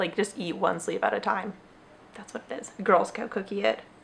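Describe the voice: A woman puts on a raspy character voice at medium pitch, moving at a moderate pace. Her loudness swings widely over light background noise.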